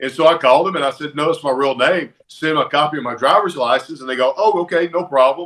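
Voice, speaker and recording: Very fast and in a Southern US accent, a man speaks at a fairly high pitch with ordinary pitch variation. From Alabama, US South. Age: 40s. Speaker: retired pro wrestler. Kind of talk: interview, casual storytelling.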